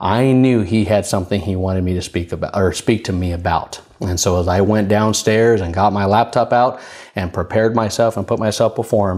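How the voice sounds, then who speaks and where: Fairly quick and with hardly any pauses, a man talks at a fairly low pitch. His intonation is fairly even. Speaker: minister / preacher. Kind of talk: prophetic spoken word, sermon delivery. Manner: conversational, friendly. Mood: warm, earnest. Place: studio. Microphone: lapel.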